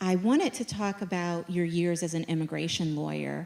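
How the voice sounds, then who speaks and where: A woman speaks in an ordinary speaking voice at a moderate pace and fairly low pitch. The recording is very clean, with a silent background. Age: middle-aged. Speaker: event moderator. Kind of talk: onstage interview. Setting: stage with audience.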